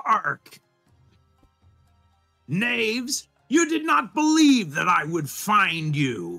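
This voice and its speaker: Using a put-on character voice, a man speaks at a high pitch and a very slow pace, with long, frequent pauses. Faint music sits in the background. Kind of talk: theatrical, archaic heroic speech. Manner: pompous, dramatic.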